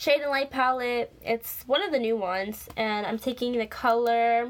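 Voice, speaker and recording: With ordinary pitch variation and a moderate pace, a woman speaks at a high pitch. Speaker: beauty vlogger. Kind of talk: tutorial. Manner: halting.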